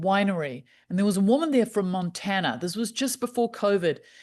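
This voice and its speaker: A woman with a New Zealand accent, medium pitch and lively intonation, at a fairly quick pace against a quiet background. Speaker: happiness specialist. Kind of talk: podcast interview.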